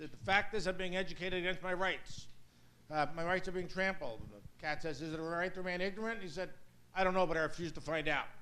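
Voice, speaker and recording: A man talks at a very fast pace with a high pitch and a bright, sharp tone. His intonation is fairly even, and audible room echo is present. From US Northeast, Brooklyn, New York. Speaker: law professor. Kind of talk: lecture.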